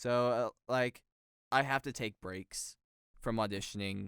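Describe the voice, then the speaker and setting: A man with an American accent talks at a fairly slow pace with ordinary pitch variation. The recording is very clean with a silent background and a dry, close sound with no echo. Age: young. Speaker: voice actor. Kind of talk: interview answer.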